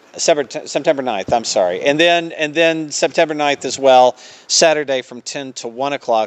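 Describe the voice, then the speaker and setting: The speaker is a man with a Southern US accent. He keeps a moderate pace. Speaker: theater staff promoting events. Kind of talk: radio interview. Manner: many filler words (uh).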